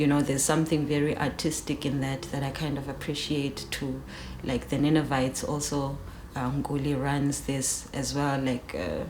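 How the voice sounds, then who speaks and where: A woman's very deep, low voice in a South African accent, relaxed in tone, monotone and flat, at a moderate pace, with audible room echo and noticeable background noise. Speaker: rapper. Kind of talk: interview. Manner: relaxed, many fillers.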